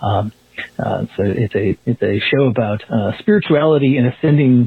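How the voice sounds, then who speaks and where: Very even loudness comes through over noticeable background noise. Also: man. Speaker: listener leaving voicemail. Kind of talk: voicemail message. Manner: halting.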